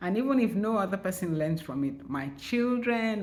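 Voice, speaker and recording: A woman speaks at a moderate pace with lively intonation. Audible room echo surrounds her voice. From Nigeria. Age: 60s. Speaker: writer and vlogger. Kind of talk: channel introduction vlog. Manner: casual, conversational.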